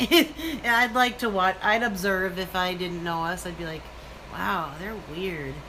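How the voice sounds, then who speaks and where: Noticeable background noise surrounds a woman with an American accent. She speaks at a fairly slow pace at medium pitch with lively intonation. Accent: Minnesotan, noticeable to others. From Minnesota, Minneapolis area. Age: 30s. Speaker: live-stream vlogger. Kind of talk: casual live-stream chat. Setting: live stream with son, selfie stick.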